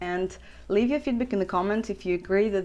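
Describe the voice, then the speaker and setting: A woman with a Russian accent and lively intonation. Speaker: big wave surfer. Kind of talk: casual talk to camera.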